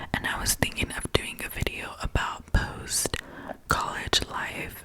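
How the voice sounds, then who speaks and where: A woman is whispering. Noticeable background noise runs behind her. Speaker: ASMR creator. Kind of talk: ASMR whispered reading and rambling. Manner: whispered, soft, rambling.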